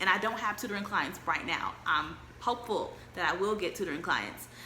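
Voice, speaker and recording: A woman at a medium pitch speaks at a fairly quick pace, with audible room echo and noticeable background noise. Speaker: travel vlogger. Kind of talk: casual chat. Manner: fast.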